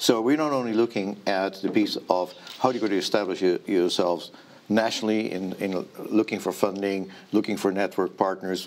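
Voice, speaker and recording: In a Dutch accent, a man talks at a fairly quick pace over light background noise. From Netherlands. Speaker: startup ecosystem representative. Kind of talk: interview. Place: studio.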